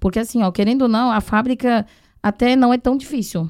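A woman with a Chinese accent in a very clean recording with a silent background. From Taiwan. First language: Chinese (speaking Portuguese). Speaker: sourcing agent and translator. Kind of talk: casual chat.

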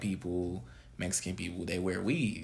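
Here is a man with an American accent and a plain, everyday voice. He keeps a moderate pace with ordinary pitch variation. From California. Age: 20s. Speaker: podcast guest co-host. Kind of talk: casual chat.

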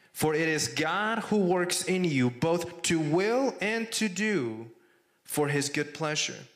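Lively intonation at a very slow pace, with very even loudness and audible room echo. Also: man, high pitch for a man. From Mexico. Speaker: campus ministry director. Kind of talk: sermon. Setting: church.

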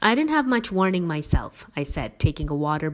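Simply a natural reading voice

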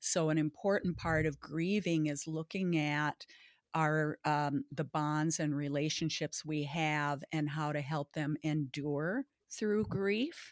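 A woman with a Minnesota accent speaks at a very deep, low pitch and a very slow pace, her intonation fairly even. The recording is very clean with a silent background, and the sound is dry and close with no echo. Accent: Upper Midwest American (Minnesota). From northern Minnesota, Baudette. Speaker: grief recovery specialist and parent educator. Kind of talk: interview.

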